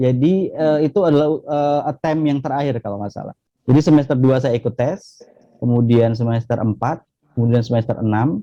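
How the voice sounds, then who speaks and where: In a Javanese accent, a man speaks with a dark, mellow tone. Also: medium pitch for a man, ordinary pitch variation, fairly quick pace. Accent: Javanese accent still noticeable. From Jambi, Indonesia (Rimbo Bujang, transmigration area). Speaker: academic, former national student achiever finalist. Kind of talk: interview conversation. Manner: many filler hesitations.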